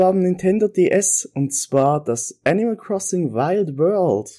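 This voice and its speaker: On a very clean recording, against a silent background, the voice has a dark, mellow tone. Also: man. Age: 20s. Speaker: podcast contributor recording a segment. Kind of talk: recorded monologue. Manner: casual with frequent fillers.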